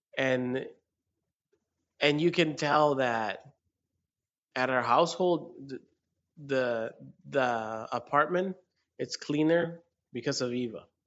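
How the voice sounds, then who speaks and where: A man with a Spanish accent talks at a very slow pace, with long, frequent pauses. His fairly high voice has ordinary pitch variation. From rural Mexico. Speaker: podcast co-host. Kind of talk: casual chat. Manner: animated.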